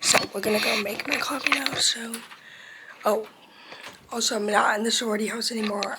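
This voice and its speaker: A woman with a fairly high pitch speaks at a moderate pace against noticeable background noise. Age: 20s. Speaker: vlogger, college student. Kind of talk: casual vlog. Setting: home kitchen. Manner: chatty, rambling pace.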